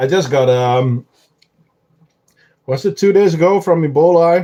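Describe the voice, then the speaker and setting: A man's high-pitched voice in a Dutch accent, dark and mellow in tone, with ordinary pitch variation. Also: fairly slow pace. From Netherlands. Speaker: ant keeper streamer. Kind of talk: live stream chat. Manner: casual, hesitant with fillers.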